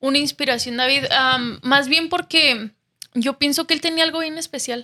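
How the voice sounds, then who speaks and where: A woman's raised, projected voice, high in pitch and bright and sharp in tone, at a fairly slow pace in a dry, close sound with no echo. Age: 20s. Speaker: TV show contestant. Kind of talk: casual faith interview.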